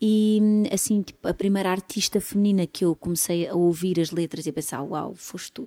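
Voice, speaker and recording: On a very clean recording with a silent background and a dry, close sound with no echo, a woman with a European Portuguese accent speaks at a moderate pace in a medium-pitched, dark, mellow voice with fairly even intonation. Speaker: singer-songwriter. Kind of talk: casual interview.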